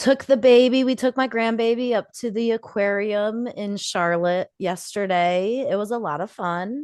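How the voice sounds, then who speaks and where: A woman at a moderate pace with ordinary pitch variation and hardly any pauses. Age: 40s. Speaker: podcast co-host. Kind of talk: casual chat. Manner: loud.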